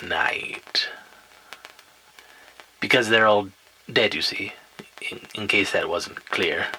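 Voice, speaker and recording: A man performs in a put-on character voice. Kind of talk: spooky campfire storytelling. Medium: audio drama. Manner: wry, self-aware, rambling.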